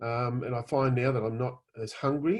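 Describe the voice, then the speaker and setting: Over a quiet background, a man with an Australian accent speaks in a somewhat breathy voice. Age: 50s. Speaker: customer giving a product testimonial. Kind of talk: testimony. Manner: animated, hesitant with fillers.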